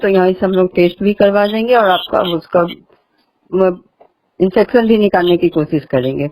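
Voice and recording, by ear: A woman speaks at a moderate pace with ordinary pitch variation. Her tone is dark and mellow, her pitch medium.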